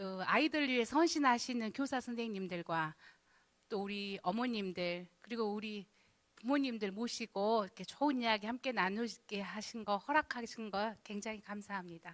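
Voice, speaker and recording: A woman's fairly high voice shows ordinary pitch variation as she talks at a moderate pace. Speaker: youth counseling center director, lecturer. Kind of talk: lecture. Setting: church hall with audience. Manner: casual, conversational.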